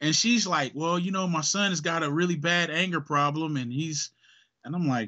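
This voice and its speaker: This man has an unremarkable speaking voice with ordinary pitch variation. His pitch is fairly high. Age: 40s. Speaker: home improvement business owner. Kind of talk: interview.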